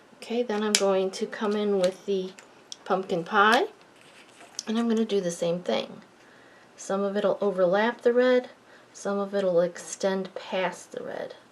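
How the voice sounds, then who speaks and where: A woman's medium-pitched voice at a fairly slow pace, fairly even in intonation, with long, frequent pauses and noticeable background noise. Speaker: card-making crafter. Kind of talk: tutorial. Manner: mumbling at times; relaxed, casual.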